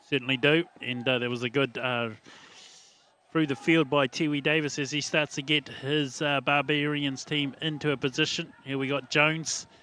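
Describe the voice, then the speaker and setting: With a New Zealand accent, the voice is bright and sharp, flat and monotone, at a moderate pace. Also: man, fairly high pitch for a man. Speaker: sports commentator. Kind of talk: live sports commentary. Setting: commentary box. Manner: halting, many fillers.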